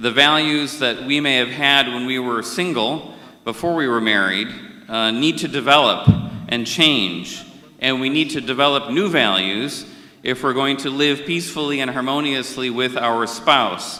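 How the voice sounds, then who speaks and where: With an American accent, a man of medium pitch speaks at a moderate pace amid noticeable background noise and audible room echo. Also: ordinary pitch variation. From India. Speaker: conference moderator. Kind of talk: formal opening remarks. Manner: formal.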